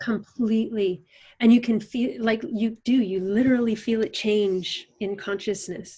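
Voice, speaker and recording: The voice is dark and mellow, somewhat breathy and calm in tone, moving fairly slowly with ordinary pitch variation. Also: woman, fairly high pitch for a woman. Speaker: animal communicator and facilitator. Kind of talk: podcast interview answer.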